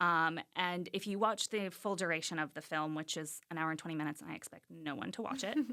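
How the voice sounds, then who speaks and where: In an American accent, a woman with a fairly low pitch and a bright, sharp tone shows ordinary pitch variation on a very clean recording with a silent background. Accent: Southern accent deliberately erased. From US South, rural Arkansas. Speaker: visiting artist. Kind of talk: interview.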